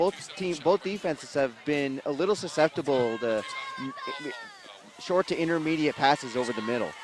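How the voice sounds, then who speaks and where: There is noticeable background noise behind this man. He talks at a moderate pace with a fairly high pitch. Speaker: sports announcer. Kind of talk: football color commentary.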